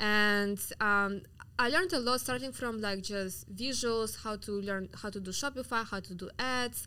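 Speaking in a Russian accent at a moderate pace, a woman with a bright, sharp tone and fairly high pitch uses ordinary pitch variation. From Siberia, Russia (Yakutsk). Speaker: entrepreneur. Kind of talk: interview. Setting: studio. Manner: animated.

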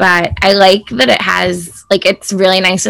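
Here is a woman with an American accent and an ordinary speaking voice. Her pitch is fairly low and her pace moderate. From US Midwest, Chicago suburbs. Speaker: entrepreneur and influencer. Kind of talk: casual interview chat. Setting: outdoors on a farm.

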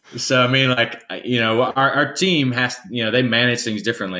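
A man speaks in an Alabama accent at a fairly quick pace, his tone bright and sharp. The recording is very clean with a silent background. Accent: Southern US (Alabama). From US South, rural Alabama. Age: 30s. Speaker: nonprofit CEO. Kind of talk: interview.

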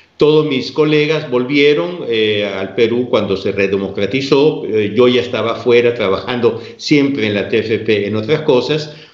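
The speaker goes at a fairly slow pace with ordinary pitch variation. Noticeable background noise and audible room echo are present. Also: man, medium pitch for a man. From Peru. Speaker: religious lay organization president. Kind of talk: interview on theology.

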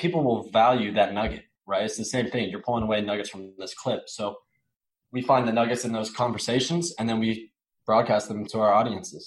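A man talks at a fairly quick pace in a medium pitch. His is a normal speaking voice with ordinary pitch variation. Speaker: personal branding director. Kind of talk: casual interview.

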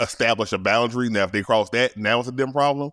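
Captured in a very clean recording with a silent background, a man's voice sounds dry and close with no echo. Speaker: podcaster and producer. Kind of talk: casual chat. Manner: casual, slangy.

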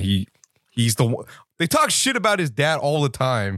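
At a moderate pace, a man talks in an animated, bright and sharp tone. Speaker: podcast host. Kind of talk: live wrestling commentary, casual banter. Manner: irreverent, joking, profane, animated.

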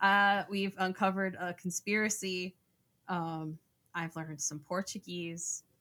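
A woman's bright, sharp voice at medium pitch, with an American accent, a fairly slow pace and fairly even intonation, on a very clean recording with a silent background. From Florida. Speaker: podcast co-host. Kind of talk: casual chat.

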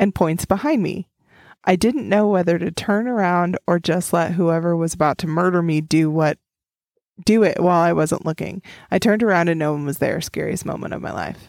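A woman speaks in a plain, everyday voice with an American accent, at a fairly low pitch with ordinary variation. Her pace is fairly quick, and the recording is very clean with a silent background. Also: dry, close sound with no echo. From Oklahoma. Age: 30s. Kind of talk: casual chat.

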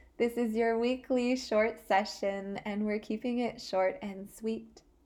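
A woman's fairly high voice, very slow, with a gentle, calm tone. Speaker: meditation guide. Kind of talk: guided meditation. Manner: slow, calm and soothing, with long pauses; gentle, soft-spoken.

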